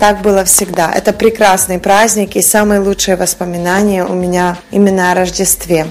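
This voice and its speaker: Against noticeable background noise, a woman talks at a moderate pace with a medium pitch, monotone, flat intonation, very even loudness, and hardly any pauses. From western Ukraine, village. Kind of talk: radio interview.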